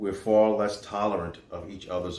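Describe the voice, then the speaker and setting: In a New York accent, a man speaks very slowly at a fairly low pitch with fairly even intonation, and the room echo is audible. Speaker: faith show host and motivational speaker. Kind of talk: inspirational monologue.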